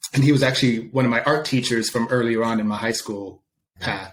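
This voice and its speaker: Speaking in an American accent, a man's voice sits at medium pitch. He goes at a fairly quick pace with fairly even intonation. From Sweden, then US. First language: Swedish. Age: 30s. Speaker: creative director. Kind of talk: podcast interview. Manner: hesitant, many fillers.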